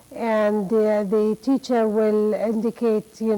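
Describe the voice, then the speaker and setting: With an Arabic accent, a woman speaks at a fairly high pitch in a dark, mellow tone. Her fairly slow delivery has monotone, flat intonation. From Jordan. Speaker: cultural awareness coordinator. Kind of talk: interview. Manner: halting.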